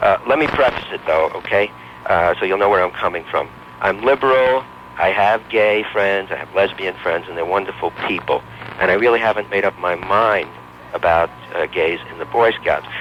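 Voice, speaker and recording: The voice has lively intonation, with noticeable background noise. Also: man, fairly low pitch for a man, moderate pace. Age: 60s. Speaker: talk radio caller. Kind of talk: call-in personal story.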